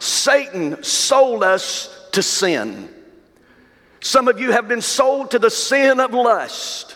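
Through noticeable background noise, a man with an extremely high pitch speaks at a very slow pace with ordinary pitch variation. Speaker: pastor. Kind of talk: sermon, preacher in full flow. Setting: church. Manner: emphatic, rhythmic repetition ("some of you have been sold to the sin of..."); warm, direct, addressing the congregation.

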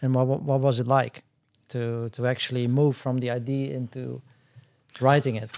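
Recorded very cleanly against a silent background, a man speaks at a medium pitch in a Dutch accent. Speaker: podcast host, former commodity trader. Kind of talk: interview.

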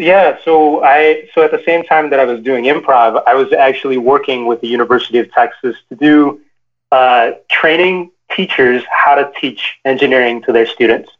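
Using a plain, everyday voice, a man with an American accent talks at a moderate pace in a fairly high pitch with ordinary pitch variation. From Chicago, US Midwest. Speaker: engineer, author, consultant. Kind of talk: interview. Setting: video call.

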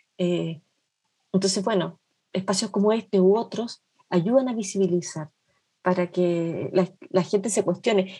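A woman with a medium-pitched, somewhat breathy voice speaks. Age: 50s. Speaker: nun and social worker. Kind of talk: interview conversation.

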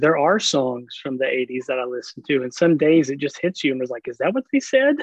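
At a fairly quick pace, a man with an American accent talks in an ordinary speaking voice, fairly high in pitch with fairly even intonation. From US South, rural Oklahoma. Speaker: pastor. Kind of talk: casual chat.

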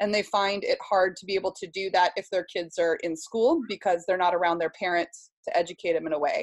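A woman with an American accent speaks in an ordinary speaking voice at medium pitch and a fairly quick pace. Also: fairly even intonation. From US Pacific Northwest, Seattle. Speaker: homeschooling mother and social media creator. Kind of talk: casual interview chat.

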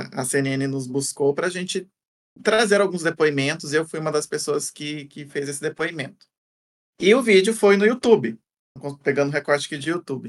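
A man speaks in an ordinary speaking voice at a fairly high pitch. His intonation is lively, and his pace is moderate. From interior of São Paulo state, Brazil. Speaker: content creator, former academic. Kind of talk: interview conversation. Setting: studio videocast.

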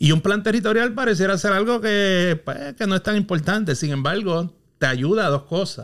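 The man talks at a moderate pace in a high pitch, his pitch varying in an ordinary way. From Puerto Rico, Quebradillas. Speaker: urban planner and consultant. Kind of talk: casual interview. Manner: halting, repeats words.

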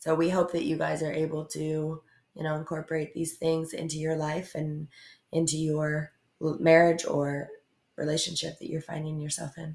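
A woman speaks at a moderate pace with a very deep, low pitch. Her delivery is monotone and flat, and somewhat breathy. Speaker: podcast co-host. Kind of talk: casual chat.

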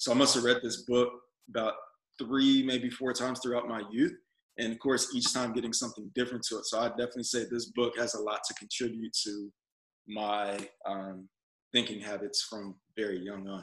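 An unremarkable speaking voice from a man, medium pitch, fairly quick pace, fairly even intonation. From Texas, San Antonio. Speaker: Navy veteran, entrepreneur and actor. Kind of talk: casual interview chat.

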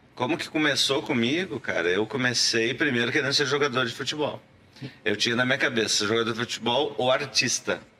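There is noticeable background noise as a man talks at a fairly quick pace with ordinary pitch variation. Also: medium pitch for a man. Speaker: actor. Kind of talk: casual chat.

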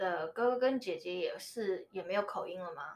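A woman with a Taiwanese accent. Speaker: podcast guest. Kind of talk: casual chat. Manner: halting.

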